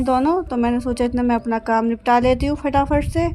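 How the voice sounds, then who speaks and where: A woman speaks in a high voice at a fairly slow pace. Noticeable background noise runs underneath. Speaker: vlogger, housewife. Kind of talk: vlog narration. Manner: casual.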